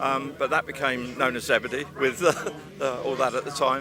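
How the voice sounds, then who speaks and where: With music in the background, a man talks at a fairly quick pace in a medium pitch. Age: 70s. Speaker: retired off-road rally driver and car builder. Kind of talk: casual interview. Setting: outdoor motorsport event arena.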